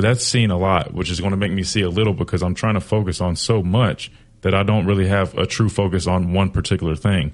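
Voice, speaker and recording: Hardly any pauses break up this man's very fast speech, delivered in an American accent. His very deep, low pitch follows fairly even intonation. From South Carolina. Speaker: former college football player, analyst. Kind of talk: sports talk radio chat.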